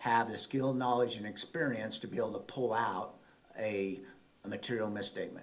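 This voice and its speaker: A man with an American accent, medium pitch, ordinary pitch variation, and audible room echo. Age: 60s. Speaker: auditor. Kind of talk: presentation. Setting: city council meeting. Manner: conversational.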